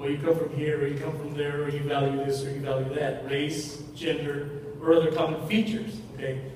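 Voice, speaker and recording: A man speaks fairly quickly at a fairly high pitch with fairly even intonation, over noticeable background noise and audible room echo. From Mexico. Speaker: university administrator and speaker. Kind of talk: lecture. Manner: repetitive, with false starts.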